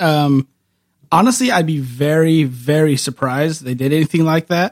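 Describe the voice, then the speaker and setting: A man with an ordinary speaking voice and an American accent talks at a moderate pace and fairly high pitch, the sound dry and close with no echo. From California Central Valley (Woodlake). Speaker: camera store employee, photographer. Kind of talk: casual chat.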